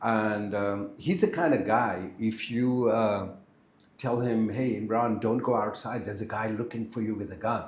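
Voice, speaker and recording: Audible room echo surrounds a man speaking at medium pitch. His intonation stays fairly even. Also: moderate pace. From India (Kashmir). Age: 60s. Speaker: architect. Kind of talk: podcast interview.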